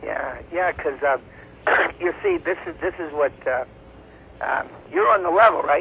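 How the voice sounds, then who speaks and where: There is noticeable background noise as a man speaks at a fairly slow pace with long, frequent pauses. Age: 30s. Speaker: outsider singer-songwriter. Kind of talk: phone conversation. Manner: halting.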